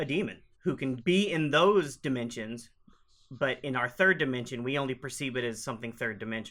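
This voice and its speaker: In an Oklahoma accent, a man talks at a fairly quick pace and a medium pitch. The recording is very clean, with a silent background. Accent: Oklahoman Southern US. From Oklahoma, US. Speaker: Ghostbusters fan group founder. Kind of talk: casual interview. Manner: halting, repeats words.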